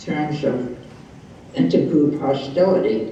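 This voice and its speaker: Fairly slow speech with lively intonation over noticeable background noise. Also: man. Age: 80s+. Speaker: psychologist. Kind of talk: interview answer. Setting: video call.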